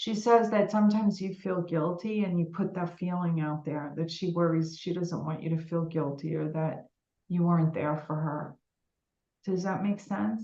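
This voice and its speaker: A fairly low-pitched woman with a New York accent, at a moderate pace with ordinary pitch variation. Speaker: psychic medium. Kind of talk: live psychic reading. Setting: live stream video meeting. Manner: warm, informal, with fillers.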